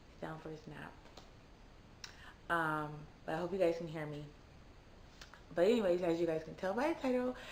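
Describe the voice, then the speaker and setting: A quiet woman with a fairly low pitch talks at a fairly quick pace, broken by long, frequent pauses, with big swings in loudness and audible room echo. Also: ordinary pitch variation. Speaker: vlogger. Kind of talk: personal story. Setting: at home. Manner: quiet, low volume; casual, chatty.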